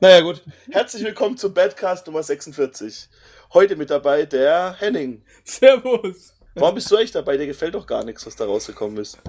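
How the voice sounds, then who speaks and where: A man speaks at a moderate pace in a high pitch. His pitch swings very widely and his loudness shifts in big swings. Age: 30s. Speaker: podcast co-host. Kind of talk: casual chat. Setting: online voice chat.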